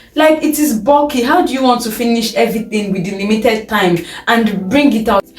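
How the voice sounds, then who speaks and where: A woman's fairly high, lively voice at a fairly quick pace, with audible room echo and noticeable background noise. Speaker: medical student vlogger. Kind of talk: advice vlog.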